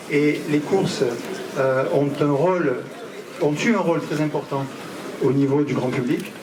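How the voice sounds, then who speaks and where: In a southern French accent, a man speaks with a fairly high pitch and fairly even intonation, with audible room echo and noticeable background noise. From southern France (Marseille area). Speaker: horse owners' union president. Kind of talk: public speech. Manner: hesitant, many fillers.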